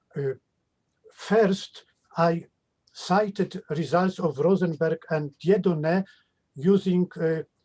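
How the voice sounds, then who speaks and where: Very slow speech from a man with a Polish accent, high in pitch, dark and mellow in tone, fairly even in intonation, with long, frequent pauses and a dry, close sound with no echo. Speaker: mathematician. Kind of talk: question and answer after a lecture. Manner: halting.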